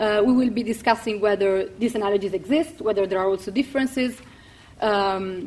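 Her pitch fairly high, a woman with an ordinary speaking voice talks at a moderate pace with ordinary pitch variation. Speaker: event chair, political theory fellow. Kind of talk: moderating an event. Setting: university lecture hall with audience.

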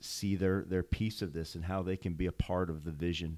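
In a very clean recording with a silent background and a dry, close sound with no echo, a man with an American accent speaks at a moderate pace in a very deep, low pitch with fairly even intonation. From St. Louis, Missouri. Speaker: pastor. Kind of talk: casual chat.

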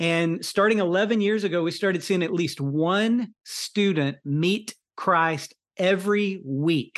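The speaker has an American accent, heard against a quiet background. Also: man. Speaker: college minister and adjunct professor. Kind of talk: webinar talk. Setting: video call.

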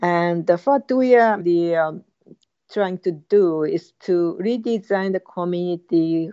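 A woman with a Japanese accent speaks very slowly at a medium pitch, her pitch varying in an ordinary way. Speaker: university professor. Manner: halting, many fillers.

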